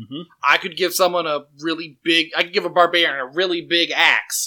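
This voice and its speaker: Delivered at a fairly quick pace, the speech comes in a very clean recording with a silent background. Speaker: podcast co-host and game master. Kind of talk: casual chat. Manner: loud.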